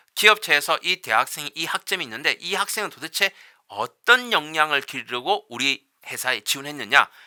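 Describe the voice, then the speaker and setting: Bright and sharp in tone, a man's fairly high voice makes very wide pitch swings on a very clean, dry, close recording with a silent background and no echo. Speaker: university professor. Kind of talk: lecture. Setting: recorded lecture video. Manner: fast.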